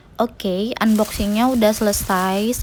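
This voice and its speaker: Music can be heard behind the speech. The voice is a woman's. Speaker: home cooking vlogger. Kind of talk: voice-over narration. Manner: casual, chatty.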